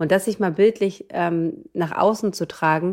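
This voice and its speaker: The voice is a woman's, dark and mellow in tone. The recording is very clean, with a silent background. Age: 30s. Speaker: midwife. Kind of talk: casual chat.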